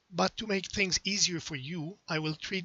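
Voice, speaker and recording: A man with a French accent, speaking at a moderate pace. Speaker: astrology software developer. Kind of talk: lecture.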